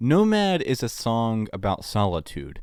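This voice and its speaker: The pitch swings very widely. The recording is very clean, with a silent background. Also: man. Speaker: music reviewer. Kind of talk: album review. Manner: halting.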